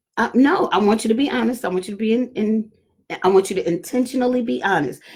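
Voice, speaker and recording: Talking at a very fast pace, a woman uses lively intonation and vocal fry at a fairly high pitch. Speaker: pastor and mother hosting talk with daughters. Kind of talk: casual family discussion on live stream. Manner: loud, projecting voice.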